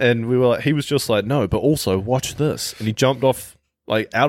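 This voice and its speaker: In a very clean recording with a silent background, a man with a New Zealand accent talks fairly quickly, his pitch moving in an ordinary way. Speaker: podcast co-host. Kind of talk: casual chat.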